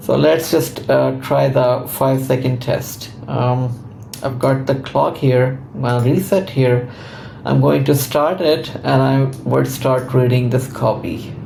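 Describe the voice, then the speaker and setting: A man at a medium pitch, very slow pace, very even loudness and ordinary pitch variation, with noticeable background noise and audible room echo. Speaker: conversion optimization consultant. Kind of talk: tutorial.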